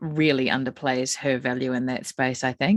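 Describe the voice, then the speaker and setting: In a New Zealand accent, a woman speaks with a very deep, low pitch and ordinary pitch variation. The sound is dry and close, with no echo. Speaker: psychic medium and spiritual healer. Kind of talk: podcast conversation.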